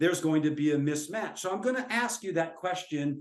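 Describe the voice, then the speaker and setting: Lively intonation marks a man's ordinary speaking voice, with an American accent. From US Midwest (central Minnesota). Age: 60s. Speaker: professor. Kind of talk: webinar lecture.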